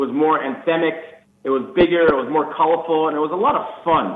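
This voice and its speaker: The speaker, with a New York accent, is heard with audible room echo. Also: man. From New York City, Queens. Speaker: band guitarist. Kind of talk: radio interview. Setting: phone call.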